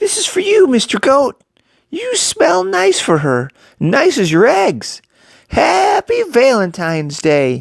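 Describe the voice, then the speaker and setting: Delivered at a fairly slow pace, the put-on character voice sits at a fairly high pitch. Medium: read story.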